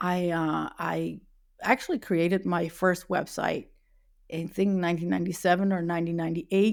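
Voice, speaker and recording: Against a silent background in a very clean recording, a woman with a Dutch accent speaks at a moderate pace in a fairly low, flat, monotone voice. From Netherlands. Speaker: web accessibility specialist. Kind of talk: interview. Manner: hesitant, many fillers.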